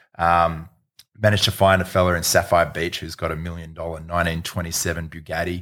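In an Australian accent, a man with a very deep, low pitch talks very fast in a monotone, flat intonation over a very clean recording with a silent background. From Sydney, Australia. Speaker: event producer. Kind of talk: casual chat.

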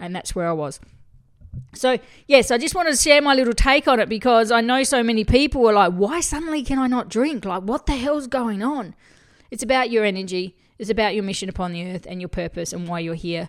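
On a very clean recording with a silent background, a woman with an Australian accent talks fairly quickly in a fairly high, animated voice with lively intonation and big swings in loudness. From Australia, country town. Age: 40s. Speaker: podcast host, spiritual coach. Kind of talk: solo podcast monologue.

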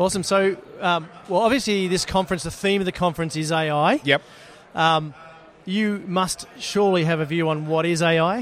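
Over noticeable background noise, the voice holds very even loudness, moving at a moderate pace with ordinary pitch variation. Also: man, high pitch for a man. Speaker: podcast host. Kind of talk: casual interview. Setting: live at conference event.

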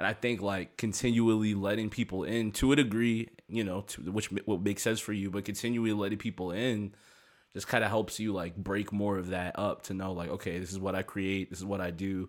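A plain, everyday voice with an American accent speaks at a fairly quick pace and in a fairly even intonation, recorded very cleanly against a silent background. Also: man, fairly low pitch for a man. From US, Maryland. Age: 20s. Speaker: hip-hop producer and rapper. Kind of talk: casual interview chat.

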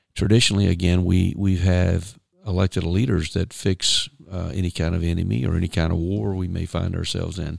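A fairly quick man's voice, very deep and low in pitch. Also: ordinary pitch variation, very clean recording, silent background. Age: 50s. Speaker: founder and chairman of a civic advocacy group. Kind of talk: interview. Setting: studio. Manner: halting, many fillers.

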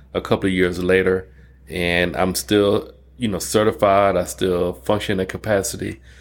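A man with an American accent and a very deep, low pitch comes through on a very clean recording with a silent background. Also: fairly even intonation, moderate pace. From Detroit, Michigan, US. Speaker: college dean of allied health. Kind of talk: casual interview.

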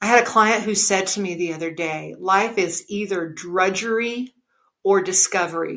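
A woman talks at a medium pitch and a moderate pace. Her intonation stays fairly even. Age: 60s. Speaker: podcast host and gratitude coach. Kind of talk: solo podcast monologue. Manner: conversational with frequent hesitations.

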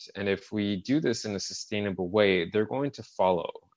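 A man with a Montreal accent speaks at a fairly low pitch with ordinary pitch variation against a quiet background. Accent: Canadian English (Montreal). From Canada, Montreal suburbs. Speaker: tech company CEO. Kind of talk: interview. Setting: remote call.

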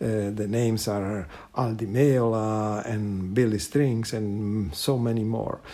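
Speaking with an Italian accent, a man has a fairly low pitch and a dark, mellow tone. He goes at a very slow pace with fairly even intonation. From Italy. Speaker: guitarist. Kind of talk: recorded personal reminiscence. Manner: halting, hesitant.

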